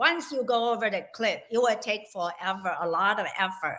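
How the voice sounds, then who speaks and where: Here is a woman with an ordinary speaking voice. Her pitch is fairly high, with ordinary pitch variation. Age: 60s. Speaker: health coach. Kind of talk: interview.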